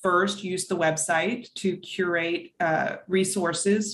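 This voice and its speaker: A woman speaks over light background noise. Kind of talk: interview answer. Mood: earnest, engaged. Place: home room. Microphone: video call.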